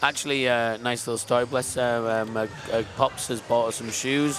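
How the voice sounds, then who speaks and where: Noticeable background noise runs under this recording. The man speaking has a medium pitch. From Queensland, Australia. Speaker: sport climbing commentator. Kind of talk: live commentary. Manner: animated, excitable.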